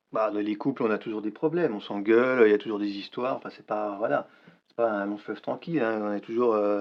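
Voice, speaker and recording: A man with a fairly low pitch and ordinary pitch variation talks at a fairly quick pace. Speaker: actor. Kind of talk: acted dramatic dialogue scene. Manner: agitated, hesitant.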